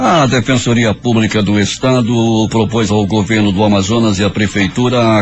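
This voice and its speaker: Music plays in the background as a man speaks at a fairly low pitch. His intonation is fairly even. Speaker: radio news anchor. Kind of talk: morning radio news bulletin. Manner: formal, clear, brisk news delivery.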